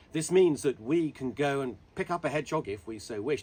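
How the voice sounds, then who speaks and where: A man's voice with vocal fry and lively intonation. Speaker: wildlife specialist; hedgehog charity spokesperson. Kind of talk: educational talk to camera.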